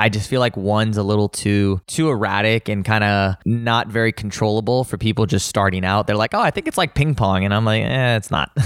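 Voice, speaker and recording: At a fairly quick pace with hardly any pauses, a man speaks at a fairly low pitch, with ordinary pitch variation and very even loudness, in a dry, close sound with no echo on a very clean recording with a silent background. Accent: Southern California. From Los Angeles, San Fernando Valley. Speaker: tennis and pickleball coach and pro player. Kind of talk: casual interview. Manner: animated.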